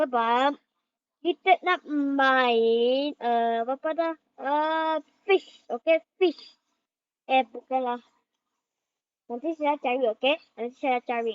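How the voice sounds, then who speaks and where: Speaking at a very slow pace with long, frequent pauses, a woman uses a high pitch and ordinary pitch variation. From Malaysia. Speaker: gaming video creator. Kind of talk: casual gameplay commentary. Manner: halting, many fillers.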